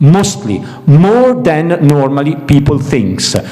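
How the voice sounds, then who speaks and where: With audible room echo and noticeable background noise, a speaker with an Italian accent talks at a fairly slow pace with lively intonation. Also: man. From Italy. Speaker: series development professional, panel speaker. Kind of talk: panel Q&A discussion. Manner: halting, repeats words.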